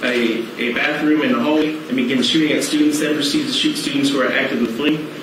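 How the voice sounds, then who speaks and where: A man speaks at a very fast pace. Noticeable background noise and audible room echo surround his voice. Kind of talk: formal testimony read aloud. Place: hall. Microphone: podium.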